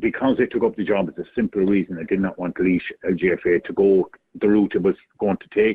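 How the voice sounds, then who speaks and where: A man speaks with an Irish Midlands accent at a moderate pace. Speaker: chair of a county ladies football board. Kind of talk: radio interview.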